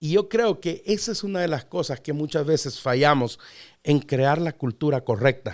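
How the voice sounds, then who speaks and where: Lively in intonation, a man speaks at a moderate pace with a fairly high pitch in a plain, everyday voice. The recording is very clean, with a silent background. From Mexico City, Mexico. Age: 40s. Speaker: pastor. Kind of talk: podcast interview.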